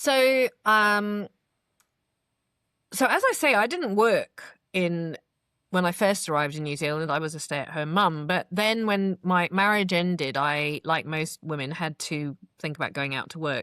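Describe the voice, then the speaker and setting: With an English accent, a woman speaks at a fairly slow pace in a fairly low voice with lively intonation and a bright, sharp tone, recorded very cleanly with a silent background and a dry, close sound with no echo. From England, London. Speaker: PR and marketing business owner. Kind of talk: interview testimony. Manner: articulate, well-spoken.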